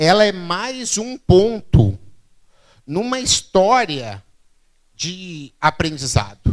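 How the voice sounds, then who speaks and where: Using very wide pitch swings, a man speaks on a very clean recording with a silent background. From southern Brazil, Rio Grande do Sul (Santa Maria). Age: 40s. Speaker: keynote speaker, innovation expert. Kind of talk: public talk. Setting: stage with audience. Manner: conversational, frequent fillers.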